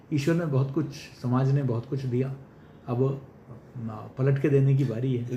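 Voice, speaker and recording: A Malayalam accent with audible room echo. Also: man. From Kerala, India. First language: Malayalam (speaking Hindi). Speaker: senior journalist and media educator. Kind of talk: interview. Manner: formal.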